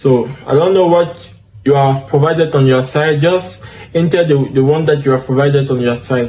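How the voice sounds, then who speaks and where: At a moderate pace, a man with a fairly high pitch keeps very even loudness and ordinary pitch variation. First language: French. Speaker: DevOps instructor. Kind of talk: tutorial. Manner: halting, with fillers.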